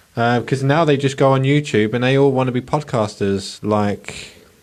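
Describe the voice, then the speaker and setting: Pitch moves with ordinary variation in an ordinary speaking voice. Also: man. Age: 30s. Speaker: podcast host. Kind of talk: casual chat.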